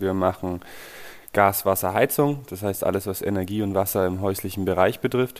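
Over a silent background in a very clean recording, a man with a normal speaking voice talks at a moderate pace, his pitch fairly low and his intonation fairly even. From Nuremberg, Franconia (Bavaria). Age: 20s. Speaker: plumber and heating installer, co-founder of a collective business. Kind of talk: interview.

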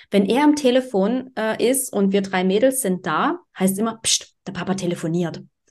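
A woman with an unremarkable speaking voice talks at medium pitch. Her intonation is lively and her pace moderate. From eastern Germany, Dresden. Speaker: podcast co-host. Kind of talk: casual chat.

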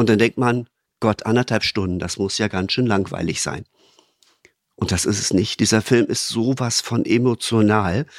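A man's unremarkable speaking voice at medium pitch, with fairly even intonation and a moderate pace. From Lower Saxony, Germany (Braunschweig). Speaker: podcast guest, business manager. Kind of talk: casual chat.

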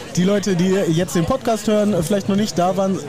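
Behind this man's very fast delivery there is noticeable background noise. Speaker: podcast host. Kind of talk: casual interviews. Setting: outdoors at a market, live recording.

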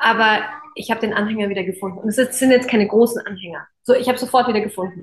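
A woman's very fast, fairly high-pitched speech with fairly even intonation. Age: 30s. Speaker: podcast host and coach. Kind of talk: casual interview chat.

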